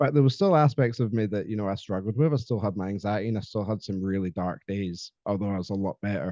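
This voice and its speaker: Against a quiet background, a man talks very fast with hardly any pauses, a dark, mellow tone and ordinary pitch variation. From Scotland. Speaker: podcast guest, mental health advocate. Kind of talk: casual interview chat. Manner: halting, many fillers.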